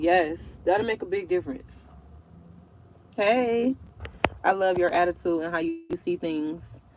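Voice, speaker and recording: Against noticeable background noise, a woman with an American accent speaks at a moderate pace in a relaxed tone, fairly low in pitch with ordinary pitch variation. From Detroit, Michigan. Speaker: truck driver vlogger. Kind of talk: casual livestream chat. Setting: YouTube livestream. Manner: relaxed, chatty.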